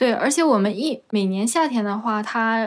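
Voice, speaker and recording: A normal speaking voice moves at a fairly slow pace with ordinary pitch variation. The recording is very clean, with a silent background. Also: woman. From Northeast China, Jilin province. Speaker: street vendor and podcast host. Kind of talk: casual interview chat.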